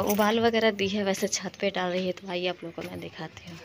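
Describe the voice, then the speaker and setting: Noticeable background noise sits behind a woman speaking with monotone, flat intonation. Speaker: home vlogger. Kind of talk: casual vlog chat. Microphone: phone near.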